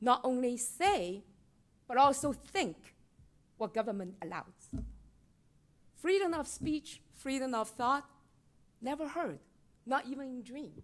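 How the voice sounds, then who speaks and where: A woman with a Chinese accent speaks at a high pitch and a fairly slow pace. Her voice has very wide pitch swings and big swings in loudness, with long, frequent pauses. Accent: Mandarin Chinese. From mainland China. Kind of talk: public comment at board meeting.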